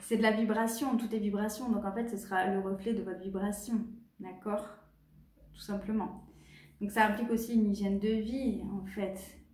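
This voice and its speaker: Speaking at a fairly high pitch, a woman is heard with noticeable background noise and audible room echo. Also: moderate pace. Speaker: clairvoyant. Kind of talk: tutorial. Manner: halting.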